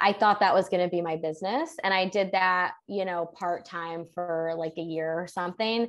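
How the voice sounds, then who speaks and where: A woman with a normal speaking voice at a medium pitch, hardly any pauses, and a quiet background. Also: fairly even intonation, moderate pace. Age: 20s. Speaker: human design business coach. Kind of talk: casual interview.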